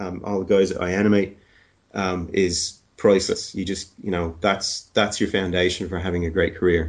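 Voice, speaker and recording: A man with a very deep, low voice speaks in an Irish accent at a moderate pace. His intonation is fairly even, and the background is quiet. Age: 40s. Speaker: animation supervisor. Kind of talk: interview.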